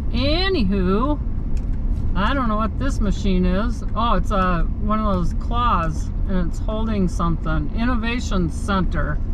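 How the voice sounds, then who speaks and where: A woman speaks at a fairly slow pace with very even loudness. The sound is dry with no echo, though background noise is noticeable. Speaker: vlogger driving to scrapyard. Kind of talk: casual vlog chat. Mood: relaxed, chatty. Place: car. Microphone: phone near.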